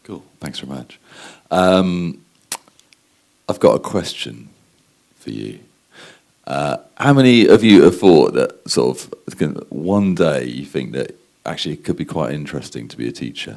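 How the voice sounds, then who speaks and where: A man with a British accent and a very deep, low voice, his pitch swinging very widely and his loudness rising and falling sharply, at a moderate pace with long, frequent pauses. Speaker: advertising strategist. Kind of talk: conference talk. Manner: hesitant, many fillers.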